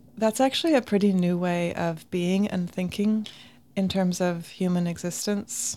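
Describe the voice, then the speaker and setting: A woman's plain, everyday voice, fairly low in pitch, with fairly even intonation at a moderate pace. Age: 40s. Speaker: nonprofit founder and director. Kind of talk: interview. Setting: houseboat.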